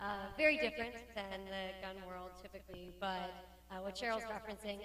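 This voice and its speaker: Noticeable background noise runs under the recording. The room adds an audible echo. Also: woman. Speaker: academic and firearms expert witness. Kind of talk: panel interview. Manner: fast; animated.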